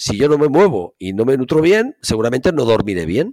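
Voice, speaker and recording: Fairly quick speech from a man with very wide pitch swings, in a dry, close sound with no echo. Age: 50s. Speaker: physical education professor. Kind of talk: interview.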